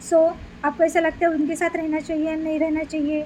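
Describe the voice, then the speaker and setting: A woman speaks in a high pitch. Noticeable background noise is present. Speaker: tarot reader. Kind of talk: tarot reading. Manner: conversational.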